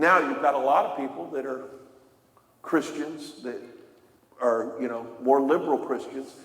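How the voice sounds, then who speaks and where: A man at a moderate pace, with audible room echo. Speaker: Bible teacher. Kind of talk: sermon.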